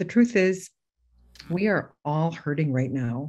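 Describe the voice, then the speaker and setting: A woman with a fairly low pitch and a dark, mellow, somewhat breathy tone talks at a moderate pace. Her intonation is lively, and the background is quiet. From Alaska, Bethel (Yup'ik). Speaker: former lieutenant governor. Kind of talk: land acknowledgement speech.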